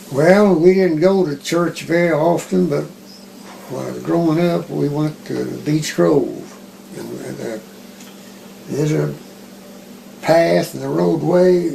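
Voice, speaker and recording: With an American accent, a man speaks at a fairly slow pace with long, frequent pauses. His loudness swings widely, and there is noticeable background noise. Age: 80s+. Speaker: retired math teacher. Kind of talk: interview answer.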